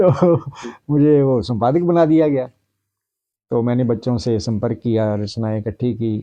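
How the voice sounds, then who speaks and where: Speaking in a Punjabi accent, a man has a medium pitch and ordinary pitch variation. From Punjab, India (Jalandhar district village). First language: Punjabi (speaking Hindi). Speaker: retired Hindi professor. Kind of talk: interview.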